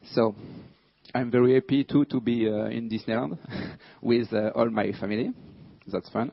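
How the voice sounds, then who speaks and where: A man with a French accent and long, frequent pauses. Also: medium pitch for a man, ordinary pitch variation, moderate pace. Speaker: security researcher. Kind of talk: conference talk. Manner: halting, many fillers.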